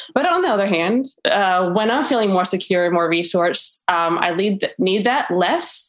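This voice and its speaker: With an American accent, a woman has an unremarkable speaking voice at a medium pitch with ordinary pitch variation. She keeps a moderate pace with hardly any pauses and very even loudness. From Florida, US South. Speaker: podcast panel guest. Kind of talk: casual chat.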